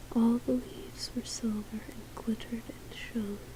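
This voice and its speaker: Noticeable background noise beneath a very slow whisper. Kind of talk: read story. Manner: soft-spoken.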